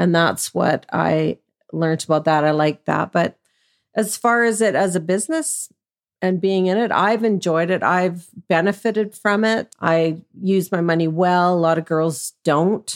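A woman with a Canadian accent speaks at a fairly slow pace in a plain, everyday voice, her pitch fairly low with ordinary variation and her loudness very even, in a dry, close sound with no echo. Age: 60s. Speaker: sex worker. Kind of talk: interview.

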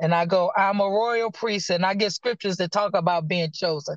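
With a Virginia accent, a woman speaks at a medium pitch with ordinary pitch variation, in a dry, close sound with no echo. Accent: US Southern (Virginia). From Virginia, Danville. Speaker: prophet and minister. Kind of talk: casual chat.

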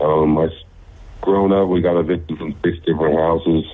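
At a fairly quick pace, a man speaks with a very deep, low pitch. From Utah. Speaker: professional football player. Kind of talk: interview. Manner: halting, many fillers; loud and passionate.

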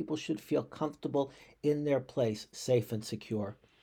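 A man's dark, mellow voice with an American accent, moderate in pace, on a very clean recording with a silent background. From US Northeast, Boston. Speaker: rabbi. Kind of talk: podcast monologue, reflective commentary. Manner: halting, frequent repetitions.

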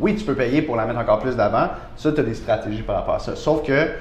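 With audible room echo around him, a man speaks in a lively intonation. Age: 30s. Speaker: real estate broker. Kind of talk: casual interview. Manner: hesitant with many fillers.

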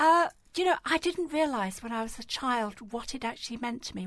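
With an English accent, a woman speaks in a high pitch with lively intonation. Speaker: equality and diversity campaigner and podcast host. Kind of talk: radio interview.

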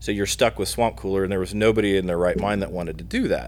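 A man with a Midwestern US accent at a very fast pace. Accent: US Midwest. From Indiana, Muncie. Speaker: battery company product manager. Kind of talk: podcast interview.

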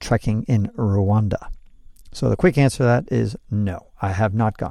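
A man speaks at a moderate pace in a dark, mellow tone with ordinary pitch variation. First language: Spanish. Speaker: podcast host and travel writer. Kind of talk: reading aloud own article with commentary; casual commentary.

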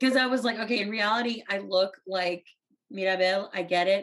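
Here a woman with an American accent uses an ordinary speaking voice at medium pitch, talking at a fairly quick pace with ordinary pitch variation. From South Texas, US; teen years in India. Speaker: author. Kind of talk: casual chat.

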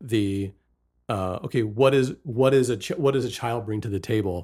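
A man with an American accent talks at a medium pitch with ordinary pitch variation, in a plain, everyday voice. The recording is very clean, with a silent background. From West Virginia. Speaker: podcast host. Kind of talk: casual chat.

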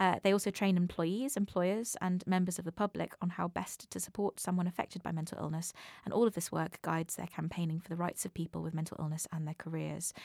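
On a very clean recording with a silent background and a dry, close sound with no echo, a woman speaks at a very fast pace with hardly any pauses, her fairly low voice keeping fairly even intonation. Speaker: podcast host, comedian. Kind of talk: casual chat.

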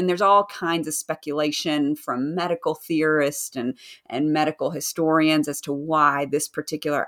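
In a Southern US accent, a woman speaks at a moderate pace with a very deep, low pitch. The recording is very clean and the background silent. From US South. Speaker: author. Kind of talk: casual interview chat.

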